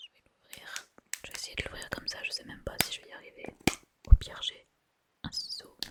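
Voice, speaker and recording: Whispering in a calm tone, a woman speaks at a fairly quick pace with long, frequent pauses and big swings in loudness. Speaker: ASMR creator. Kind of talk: ASMR tasting video. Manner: whispered; soft-spoken, calm.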